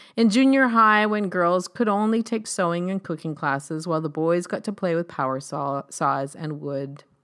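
A woman with an unremarkable speaking voice talks at a moderate pace and fairly low pitch, her intonation lively and hardly any pauses breaking her speech, in a very clean recording with a silent background. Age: 50s. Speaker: essay author reading her own writing. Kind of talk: reading aloud.

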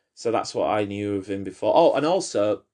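A man speaks with a British accent and lively intonation. The background is quiet. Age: 30s. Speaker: podcast host. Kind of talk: casual chat.

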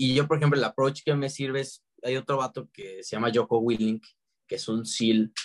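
A man with a Mexican accent speaks at a medium pitch and moderate pace with fairly even intonation, in a dry, close sound with no echo. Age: 20s. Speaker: book content creator. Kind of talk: casual chat.

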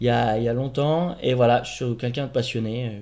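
A man's medium-pitched voice, dark and mellow in tone, at a fairly slow pace. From Paris, France. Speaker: host's partner. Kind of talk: casual chat.

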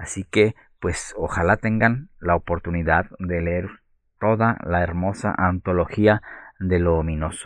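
Speaking at a fairly slow pace, a man with a very deep, low voice keeps his intonation fairly even. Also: quiet background. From Guadalajara, Mexico. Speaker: librarian, actor and storyteller. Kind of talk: recorded author statement.

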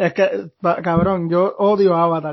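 Speaking in a monotone, flat intonation, a man has a high pitch. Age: 20s. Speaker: podcast co-host. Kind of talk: casual chat.

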